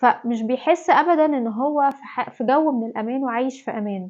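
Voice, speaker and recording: A woman's high-pitched voice with an Egyptian accent, ordinary pitch variation and a moderate pace. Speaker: parenting advice vlogger, mother. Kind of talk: talk-to-camera parenting tips. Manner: conversational, informal.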